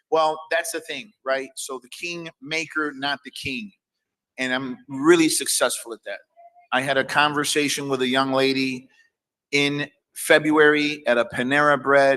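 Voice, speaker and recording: The voice has a bright, sharp tone and fairly even intonation, moving at a fairly slow pace. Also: man, fairly high pitch for a man. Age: 50s. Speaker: comedian and producer. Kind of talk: casual chat. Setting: live stream. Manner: halting.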